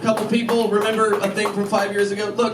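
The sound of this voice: Over clear background noise, a man talks fast at a high pitch, his voice moving little in pitch.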